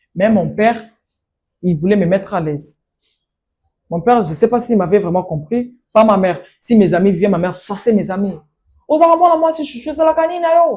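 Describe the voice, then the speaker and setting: A woman speaks in a dark, mellow tone that is somewhat breathy. Her pitch swings very widely, with long, frequent pauses. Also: medium pitch for a woman, moderate pace. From DR Congo, Kinshasa area. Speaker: master of ceremonies. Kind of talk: interview.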